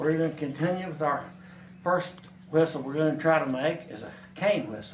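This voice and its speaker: Speaking with an American accent, a man has a fairly high pitch and ordinary pitch variation. Audible room echo surrounds his voice. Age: 70s. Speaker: craftsman demonstrating whittling. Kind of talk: tutorial. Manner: halting, with fillers and restarts.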